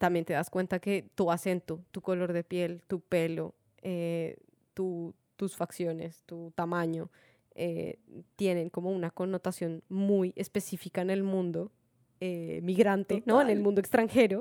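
Recorded very cleanly against a silent background, a woman with a Latin American accent speaks at a fairly slow pace in a dark, mellow tone at medium pitch with fairly even intonation. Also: dry, close sound with no echo. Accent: own Latin American accent, proud of it. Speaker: podcast co-host. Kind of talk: casual chat. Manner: halting.

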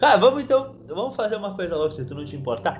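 A man talks at a very fast pace with very wide pitch swings. Noticeable background noise runs behind him. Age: 20s. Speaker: podcast co-host. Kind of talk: casual chat.

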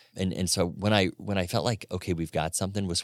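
In a very clean, dry, close recording with a silent background and no echo, a man with a very deep, low voice speaks at a very fast pace. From Florida. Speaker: retail store co-founder. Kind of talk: interview conversation.

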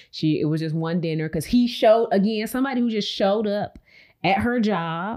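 At a fairly quick pace, a woman with a normal speaking voice talks at medium pitch with ordinary pitch variation. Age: 30s. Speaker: podcast host. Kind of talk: casual chat.

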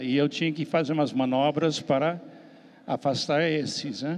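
Fairly high-pitched man with an American accent and fairly even intonation. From US, Miami. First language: English (speaking Portuguese). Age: 70s. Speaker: missionary pastor. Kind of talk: panel discussion.

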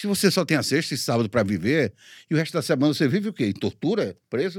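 The voice moves in very wide pitch swings in a very clean recording with a silent background and a dry, close sound with no echo. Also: man. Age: 50s. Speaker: radio announcer. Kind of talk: interview.

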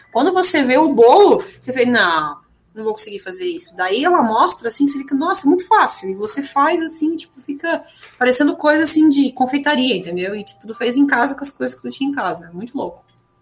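With music in the background, a woman talks at a fairly quick pace in a high pitch, her voice making very wide pitch swings. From Santa Catarina, Brazil (German-heritage town). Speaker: English teacher and vegan activist. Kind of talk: casual radio interview. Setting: radio studio. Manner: halting, many fillers and repetitions.

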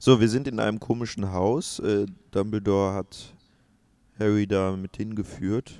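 A man's dark, mellow tone at a fairly slow pace, with fairly even intonation. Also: fairly low pitch for a man, very clean recording, silent background. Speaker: podcast co-host. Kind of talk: live film commentary, casual chat.

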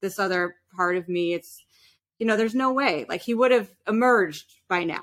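Speaking fairly quickly with lively intonation, a woman uses an ordinary speaking voice with an American accent. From New York City. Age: 30s. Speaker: opera and musical theatre singer. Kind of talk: interview.

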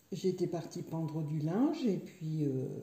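Somewhat breathy and fairly low, a woman's voice carries a dark, mellow tone with ordinary pitch variation. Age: 60s. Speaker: yoga student, stroke survivor. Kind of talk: personal testimony. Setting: her living room. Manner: halting, repetitive.

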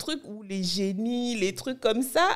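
A woman's fairly high voice, an ordinary speaking voice, with ordinary pitch variation and a fairly slow pace. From Benin (Cotonou, north Benin). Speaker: blogger and content creator. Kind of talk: interview.

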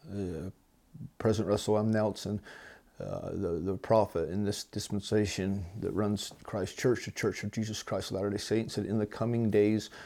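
At a moderate pace, a man speaks in a fairly low pitch with a dark, mellow tone and flat, monotone intonation. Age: 40s. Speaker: podcast host. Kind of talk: religious monologue. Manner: hesitant with fillers.

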